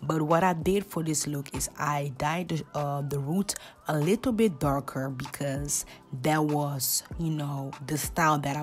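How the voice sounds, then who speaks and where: Music plays behind a woman with a very deep, low pitch. She talks at a fairly slow pace with fairly even intonation. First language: Dutch. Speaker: hairstylist. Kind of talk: tutorial voiceover. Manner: casual, hesitant with fillers.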